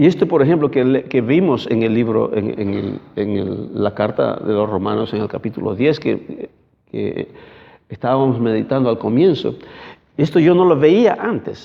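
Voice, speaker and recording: At a fairly slow pace, a man talks with lively intonation and vocal fry at a medium pitch. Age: 60s. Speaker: pastor. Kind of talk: sermon. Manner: halting.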